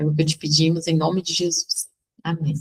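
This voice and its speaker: Fairly slow pace, with a dry, close sound and no echo. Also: woman. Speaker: devotional leader. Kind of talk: devotional teaching.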